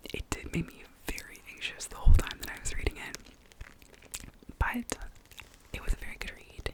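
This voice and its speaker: Whispering in a relaxed tone at a moderate pace, the speaker is heard over noticeable background noise. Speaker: ASMR creator and book reviewer. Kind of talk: casual reading wrap-up talk to camera. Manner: soft-spoken, relaxed.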